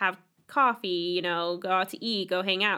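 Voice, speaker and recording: A woman with an ordinary speaking voice talks at a medium pitch. She keeps a moderate pace and ordinary pitch variation. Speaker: campus ministry podcast host. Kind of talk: casual interview.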